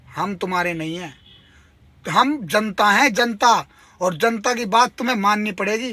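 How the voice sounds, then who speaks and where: A man's very slow, raised and projected voice, high in pitch, bright and sharp in tone, with ordinary pitch variation. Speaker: transport workers' union activist and video blogger. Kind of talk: video update to fellow workers. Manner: impassioned, emphatic.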